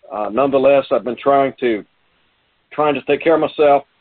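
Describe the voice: A man speaks at medium pitch with ordinary pitch variation.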